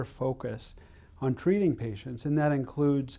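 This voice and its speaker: A man's medium-pitched voice with a dark, mellow tone and ordinary pitch variation. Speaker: oncologist. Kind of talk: interview answer.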